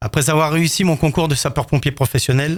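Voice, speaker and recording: The voice is somewhat breathy, with ordinary pitch variation and a fairly quick pace. The recording is very clean, with a silent background. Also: man. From France, Haute-Savoie (Rumilly). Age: 60s. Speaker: retired firefighter officer, mayoral candidate. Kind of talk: prepared candidate statement.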